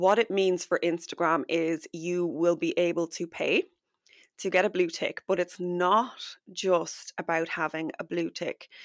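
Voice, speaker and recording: In a very clean recording with a silent background and a dry, close sound free of echo, a woman speaks fairly slowly at a fairly low pitch with a warm tone and monotone, flat intonation. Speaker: podcast host and business coach. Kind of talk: solo podcast episode, chatty and instructional. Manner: warm, friendly, conversational.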